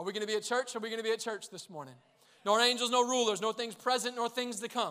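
A man's extremely high, bright and sharp voice, raised and projected, animated and at a very fast pace. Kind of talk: sermon. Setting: church with congregation. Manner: animated, call-and-response, urging the congregation to shout and praise.

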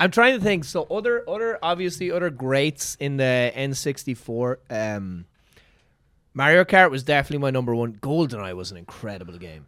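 A man's fairly high-pitched voice in an Irish accent, at a moderate pace, with very wide pitch swings and big swings in loudness. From Ireland. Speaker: comedian. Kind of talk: casual chat.

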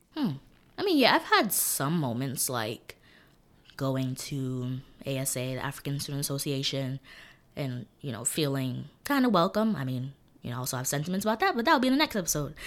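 A woman talks fairly quickly in a New York accent. Her pitch is very deep and low, and her intonation lively. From New York City, East New York, Brooklyn. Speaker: college student. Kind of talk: casual chat.

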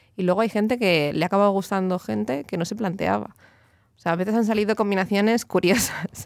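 Recorded very cleanly against a silent background, a woman speaks at a medium pitch. Her pace is fairly quick and her pitch varies in an ordinary way. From Catalonia, Barcelona. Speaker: fashion designer and author. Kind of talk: interview.

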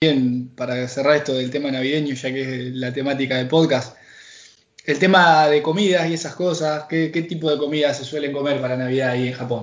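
Audible room echo surrounds a man with a Rioplatense accent and a fairly high pitch. He talks at a fairly quick pace with fairly even intonation. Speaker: podcast host. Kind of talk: casual chat.

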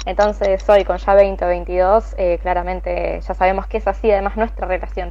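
This woman speaks with a Rioplatense accent. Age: 20s. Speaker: podcast co-host. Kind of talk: casual chat.

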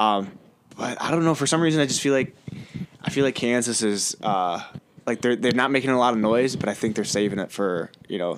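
With an unremarkable speaking voice, a man of medium pitch talks at a fairly quick pace with ordinary pitch variation. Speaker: podcast co-host, college student. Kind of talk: casual chat.

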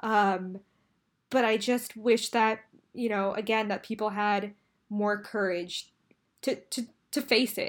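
A woman with an American accent talks very slowly at a fairly high pitch in a monotone, flat intonation with long, frequent pauses, on a very clean recording with a silent background. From California Bay Area. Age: 20s. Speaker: graduate student and eating disorder speaker. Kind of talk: interview.

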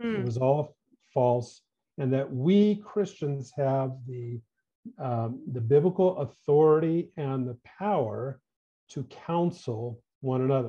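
Very slowly and with lively intonation, a man with an American accent speaks at a medium pitch in a somewhat breathy voice. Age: 60s. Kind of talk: interview conversation.

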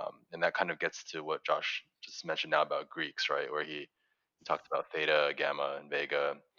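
The speaker is a man talking at a fairly quick pace. His loudness swings widely. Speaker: podcast co-host. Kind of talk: casual interview conversation.

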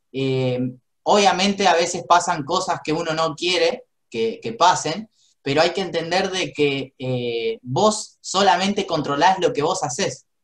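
At a fairly slow pace, a man speaks in a high pitch with lively intonation. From Argentina. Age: 20s. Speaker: network marketing entrepreneur. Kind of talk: motivational business talk.

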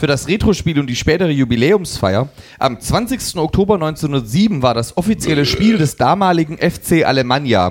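At a moderate pace, a man with a fairly high pitch and vocal fry speaks with very wide pitch swings. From eastern Germany. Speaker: football podcast co-host. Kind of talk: casual chat.

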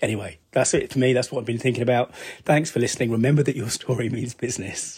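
A somewhat breathy man with an English accent, medium pitch and lively intonation. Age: 50s. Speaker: podcast host, business storytelling consultant. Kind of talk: solo podcast monologue. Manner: casual, thinking aloud with fillers.

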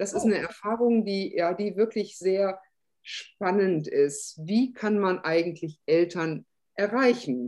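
Speaking at a very slow pace, a woman uses lively intonation at a medium pitch. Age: 50s. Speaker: special-needs school religion teacher. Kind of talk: casual interview chat. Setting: video call.

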